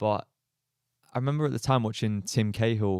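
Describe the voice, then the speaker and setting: In a very clean recording with a silent background, a man speaks with an English accent. His voice is fairly low, and his pace is moderate. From Australia. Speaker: footballer. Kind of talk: podcast interview. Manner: casual, hesitant with fillers.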